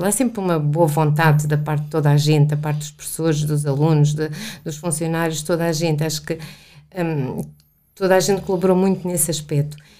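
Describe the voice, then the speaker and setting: Intonation stays monotone and flat while the talking holds a moderate speed. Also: woman. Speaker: engineer, facilities manager. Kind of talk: interview.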